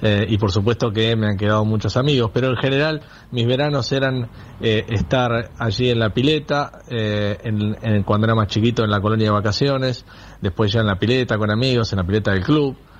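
A man with an ordinary speaking voice talks at a moderate pace and medium pitch. His loudness stays very even, with ordinary pitch variation. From Olavarría, Buenos Aires province. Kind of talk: recorded message.

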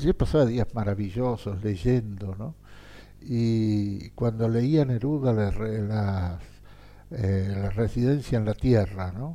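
Speaking very slowly, a man with a fairly low pitch and a dark, mellow tone uses ordinary pitch variation. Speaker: writer and diplomat. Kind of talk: interview. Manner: halting.

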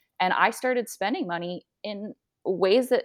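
Here a woman speaks in a normal speaking voice at a medium pitch. Her intonation is lively. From US, suburbs of Washington DC. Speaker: personal finance content creator. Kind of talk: casual interview.

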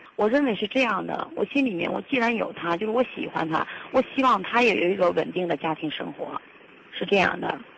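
Through noticeable background noise, a woman at medium pitch talks at a fairly quick pace with lively intonation. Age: 30s. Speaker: caller. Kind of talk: call-in advice confession. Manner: halting.

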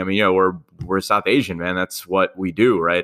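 In a New York accent, a man delivers his words fairly quickly. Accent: New York American. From New York, Queens. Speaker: finance influencer and comedian. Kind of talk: casual interview chat.

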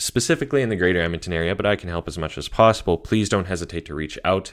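Speaking at a very fast pace with a Canadian accent, a man uses a very deep, low voice with ordinary pitch variation, in a very clean recording with a silent background. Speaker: real estate agent, podcast host. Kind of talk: casual monologue. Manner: casual with frequent fillers.

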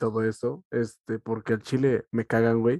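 A man speaks with a Mexican accent at a moderate pace. The sound is dry and close, with no echo. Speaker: podcast co-host. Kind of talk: casual chat.

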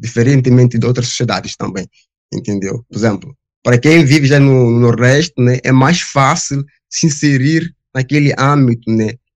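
A man speaks at a moderate pace and medium pitch, with fairly even intonation, in a normal speaking voice. The sound is dry and close with no echo. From Guinea-Bissau. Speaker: social work student. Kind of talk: panel discussion.

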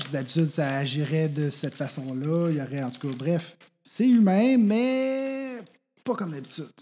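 A man with a Quebec accent, a dark, mellow tone and fairly high pitch in very wide swings at a fairly slow pace, in a very clean recording with a silent background. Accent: Québécois French. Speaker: tabletop role-play player. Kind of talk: tabletop role-play, in character.

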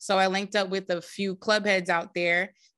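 In a quiet background, a woman with a New Jersey accent talks at a medium pitch in a bright, sharp tone with flat, monotone intonation. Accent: New Jersey American. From North Jersey, US. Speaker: DJ and producer. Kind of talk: casual interview chat.

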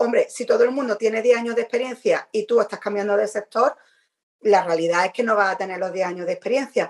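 A woman with a normal speaking voice keeps her intonation lively and her pace fairly quick. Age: 40s. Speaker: podcast co-host. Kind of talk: casual chat.

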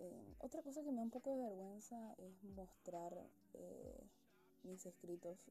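A somewhat breathy woman's voice of medium pitch, dark and mellow in tone, with lively intonation at a fairly slow pace. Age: 20s. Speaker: student. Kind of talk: casual monologue. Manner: chatty, informal.

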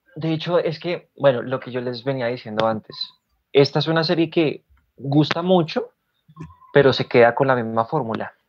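A plain, everyday voice, its pitch variation ordinary and its pace moderate. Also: man, fairly high pitch for a man. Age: 20s. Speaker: podcast co-host. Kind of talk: casual chat.

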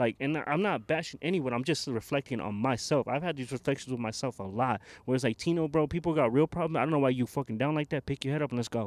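Speaking very fast with hardly any pauses, a man uses a fairly high pitch, captured on a very clean recording with a silent background and a dry, close sound with no echo. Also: ordinary pitch variation. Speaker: co-host. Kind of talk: casual chat. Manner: joking, playful.

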